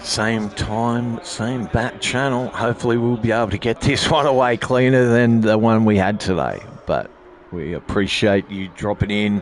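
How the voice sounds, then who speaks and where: Noticeable background noise accompanies a man with an Australian accent. He speaks at a moderate pace and medium pitch with ordinary pitch variation. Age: 50s. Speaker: sim racing livestream host. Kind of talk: post-race interview and sign-off on livestream. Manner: halting, many fillers and repeats.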